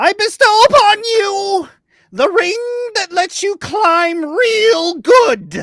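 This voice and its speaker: A put-on character voice at an extremely high pitch, raised and projected. It moves at a very slow pace. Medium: actual play. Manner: pompous.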